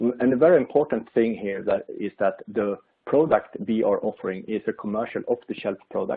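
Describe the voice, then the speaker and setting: A man speaks at a moderate pace with a Swedish accent. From Sweden. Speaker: industry expert presenter. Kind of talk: webinar presentation. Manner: halting, many fillers.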